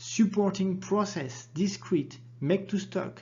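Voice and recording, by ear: A man speaks at a high pitch and fairly slow pace. His tone is dark and mellow, with ordinary pitch variation.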